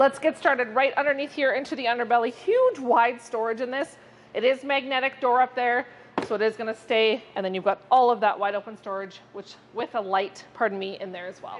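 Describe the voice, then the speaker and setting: A woman talks at a fairly quick pace in a high voice. Her loudness swings a lot. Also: ordinary pitch variation. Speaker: RV salesperson. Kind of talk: product walkthrough. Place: hall.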